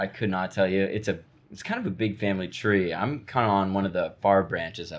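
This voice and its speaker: With a normal speaking voice and an American accent, a man speaks at a fairly quick pace and a fairly low pitch, his intonation fairly even. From Oklahoma (Tulsa), later Dallas, Texas. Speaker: college rugby player. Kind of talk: casual podcast interview. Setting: podcast recorded in a tavern clubhouse.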